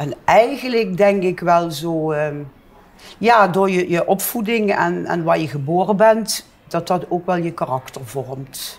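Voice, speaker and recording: The woman talks very slowly, her fairly low voice varying in pitch in an ordinary way. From Netherlands, Limburg (Heerlen area). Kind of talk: interview. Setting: bar.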